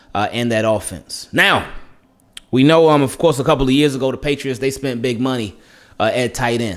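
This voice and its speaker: A man's animated voice with ordinary pitch variation over a quiet background. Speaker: sports YouTuber. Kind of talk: sports preview monologue. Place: home room. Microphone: studio mic.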